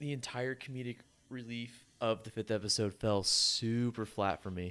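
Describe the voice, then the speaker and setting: With a normal speaking voice, a man talks at a medium pitch with ordinary pitch variation. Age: 20s. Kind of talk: casual chat.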